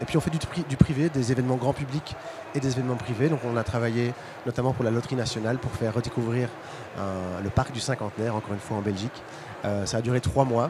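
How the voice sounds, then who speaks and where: A man at medium pitch with ordinary variation, at a very fast pace, amid noticeable background noise. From Belgium. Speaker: startup founder presenting product. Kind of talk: conference presentation. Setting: stage with audience at trade fair. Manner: halting, many fillers.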